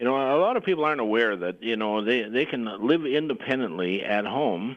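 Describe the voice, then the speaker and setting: Lively intonation and a fairly quick pace mark an ordinary speaking voice. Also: man. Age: 60s. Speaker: realtor. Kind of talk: radio interview.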